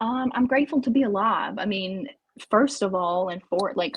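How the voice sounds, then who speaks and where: The woman's pitch varies in an ordinary way as she talks at a moderate pace. Her sound is dry and close, with no echo. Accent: Southern US. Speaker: recovery support worker. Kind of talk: interview.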